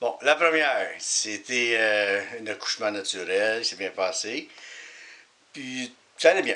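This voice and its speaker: A man speaks with lively intonation. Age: 50s. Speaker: auto glass technician. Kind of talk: interview testimony.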